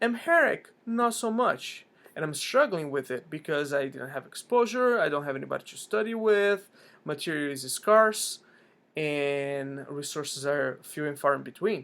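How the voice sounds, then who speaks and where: A man with a Portuguese accent speaks at a moderate pace in a fairly high pitch for a man, his pitch swinging very widely and his loudness rising and falling sharply. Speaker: language learning vlogger. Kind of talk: casual vlog talk. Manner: frequent fillers and restarts.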